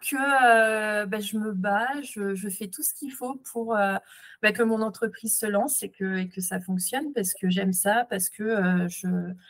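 This woman's pitch sits fairly high, with ordinary variation. She talks at a fairly slow pace. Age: 30s. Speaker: entrepreneur. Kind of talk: interview testimony. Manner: halting, many fillers.

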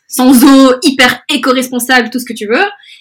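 A woman at a moderate pace. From Belgium, Brussels, Spanish family. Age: 20s. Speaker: influencer. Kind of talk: interview. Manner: hesitant, many fillers.

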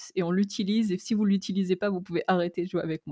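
Her tone is dark and mellow, at medium pitch with fairly even intonation. The woman's recording is very clean, dry and close, with no echo and a silent background. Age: 30s. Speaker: role-playing gamer and game master. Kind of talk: interview. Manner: hesitant, many fillers.

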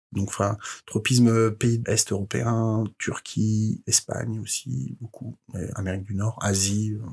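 Somewhat breathy, a man speaks at a very slow pace, the sound dry and close with no echo. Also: fairly low pitch for a man, ordinary pitch variation. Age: 40s. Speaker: head of recruitment at a video game startup. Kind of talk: interview. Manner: halting, repeated words.

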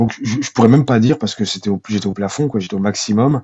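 This man speaks at a medium pitch. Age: 40s. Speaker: single father and property manager. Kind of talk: interview testimony. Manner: halting.

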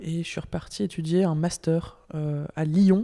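Speaking with fairly even intonation, a woman has a fairly low pitch and a dark, mellow tone. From northern France, Lille. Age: 30s. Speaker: impact finance platform director. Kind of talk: interview conversation.

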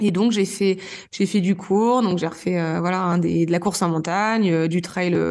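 A woman of medium pitch talks at a fairly slow pace with fairly even intonation in a normal speaking voice. The background is quiet. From Normandy, France. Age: 30s. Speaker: trail runner and gynecologist. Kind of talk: interview.

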